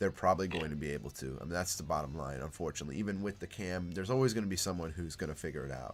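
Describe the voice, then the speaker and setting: A man's very deep, low voice with vocal fry and an American accent, at a very fast pace with hardly any pauses. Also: ordinary pitch variation. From United States. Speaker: speedrunner and streamer. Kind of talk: casual chat. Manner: halting, many fillers and restarts.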